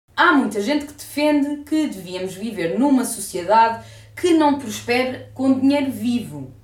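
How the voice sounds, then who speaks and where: Lively intonation marks a woman's high-pitched voice at a fairly slow pace. Audible room echo and noticeable background noise surround her. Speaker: podcast host. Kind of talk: casual chat.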